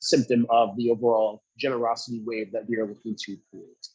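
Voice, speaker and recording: A man talks in a plain, everyday voice. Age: 20s. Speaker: youth engagement director and former teacher. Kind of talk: webinar presentation.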